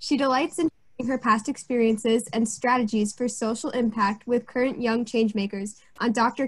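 Against a quiet background, a woman with an American accent and an ordinary speaking voice talks at a moderate pace, her fairly high pitch carrying fairly even intonation. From US Northeast. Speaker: student co-moderator. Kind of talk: scripted introduction. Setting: video call. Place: home room. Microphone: webcam.

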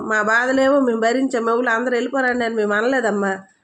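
A woman is talking here. She has a high-pitched voice. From Andhra Pradesh, East Godavari. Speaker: party women's wing leader. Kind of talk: political statement to camera. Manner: animated.

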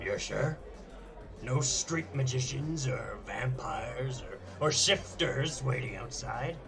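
Over loud background noise, a man uses a put-on character voice at a medium pitch, going at a fairly slow pace. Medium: audio drama. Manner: blustery, gruff.

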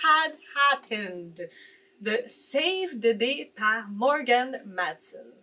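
A woman's raised, projected voice, bright and sharp in tone, with very wide pitch swings at a very slow pace. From Quebec. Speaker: booktuber; book youtuber. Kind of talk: casual vlog commentary; casual vlog chat. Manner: animated. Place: home room.

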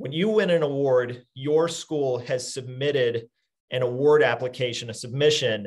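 Over a quiet background, a man speaks at a moderate pace in a somewhat breathy voice with fairly high pitch. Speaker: webinar host. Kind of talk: casual chat. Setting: video call. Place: office. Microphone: video call.

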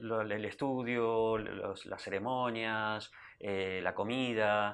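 This man speaks with an Argentine accent and a fairly even intonation. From Argentina. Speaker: Hare Krishna devotee; interview guest. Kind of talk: interview. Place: studio. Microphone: lapel.

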